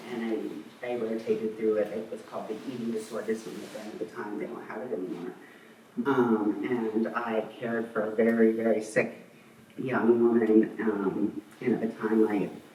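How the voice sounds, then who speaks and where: A man at medium pitch and a moderate pace, with monotone, flat intonation and big swings in loudness, amid noticeable background noise and audible room echo. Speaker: bereaved parent speaking at memorial. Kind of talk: eulogy. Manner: hesitant, many fillers.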